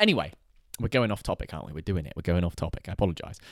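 On a very clean recording with a silent background, a man with a British accent speaks in a dry, close sound with no echo. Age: 20s. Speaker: lifestyle and money vlogger. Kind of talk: casual solo monologue. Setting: in a house.

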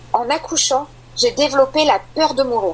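A woman's speech, at a moderate pace and with ordinary pitch variation, comes through noticeable background noise. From Île-de-France, France. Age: 30s. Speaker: mother sharing postpartum depression story. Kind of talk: personal testimony interview.

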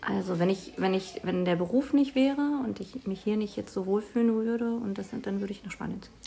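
Over noticeable background noise, a woman talks at a fairly quick pace with hardly any pauses and a medium pitch. Her pitch variation is ordinary, while her loudness swings a lot. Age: 30s. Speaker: teacher. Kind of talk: interview. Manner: hesitant, many fillers.

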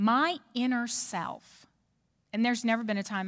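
An American-accented woman, recorded very cleanly against a silent background. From New Orleans, Louisiana. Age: 40s. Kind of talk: church talk.

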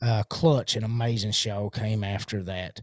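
A man with a medium pitch and a somewhat breathy voice speaks at a fairly slow pace with fairly even intonation, in a very clean recording with a silent background. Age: 30s. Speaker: podcast host. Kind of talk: casual monologue. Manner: many fillers and hesitations; casual, rambling.

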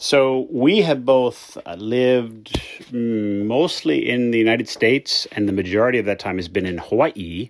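A man with an American accent talks at a moderate pace. Noticeable background noise runs underneath. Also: medium pitch for a man, ordinary pitch variation, hardly any pauses. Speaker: caller.

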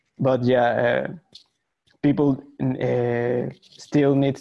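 With a Spanish accent, a man speaks at a medium pitch and keeps his intonation fairly even. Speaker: illustrator. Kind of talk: casual chat. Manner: halting, many fillers.

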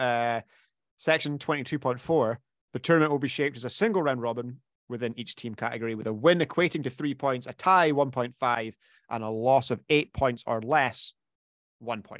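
A man speaks in a plain, everyday voice at medium pitch, with ordinary pitch variation and a fairly quick pace, in a dry, close sound with no echo and a quiet background. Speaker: podcast host. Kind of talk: casual chat. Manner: filler-heavy, conversational.

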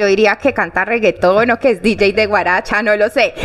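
A woman's fairly high voice comes through with noticeable background noise behind it. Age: young. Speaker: podcast host. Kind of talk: interview conversation.

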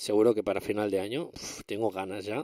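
A man with a normal speaking voice talks at a moderate pace with fairly even intonation and a fairly low pitch, in a dry, close sound with no echo. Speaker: tech podcast host. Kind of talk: casual solo podcast monologue.

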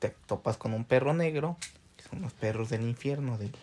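Lively intonation runs through the man's speech. His pace is moderate. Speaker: podcast co-host. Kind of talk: casual chat.

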